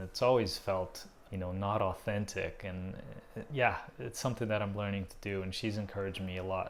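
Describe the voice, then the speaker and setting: With a Portuguese accent, a man talks at a moderate pace in a fairly low pitch and fairly even intonation. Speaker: visual artist. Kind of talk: casual vlog update. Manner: hesitant, many fillers.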